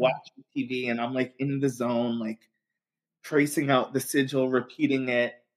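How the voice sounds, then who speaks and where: A man talks with a fairly high pitch and a moderate pace in an unremarkable speaking voice. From Long Island, New York. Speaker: occult community founder. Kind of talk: casual chat.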